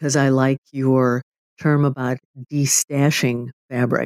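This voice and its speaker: Recorded dry and close with no echo, a woman speaks fairly slowly at a very deep, low pitch in a monotone, flat way. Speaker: podcast host. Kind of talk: casual interview conversation.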